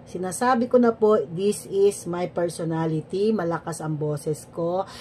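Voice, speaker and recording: The speech moves at a fairly slow pace with ordinary pitch variation. Noticeable background noise runs underneath. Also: woman, fairly low pitch for a woman. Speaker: teacher. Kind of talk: personal vlog. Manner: animated.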